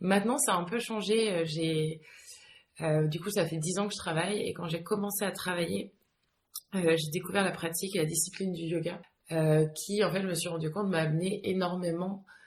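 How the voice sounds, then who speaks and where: Somewhat breathy and fairly low-pitched, a woman talks at a moderate pace with fairly even intonation. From France, with some childhood abroad. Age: 30s. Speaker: yoga teacher. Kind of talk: interview. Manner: hesitant, many fillers.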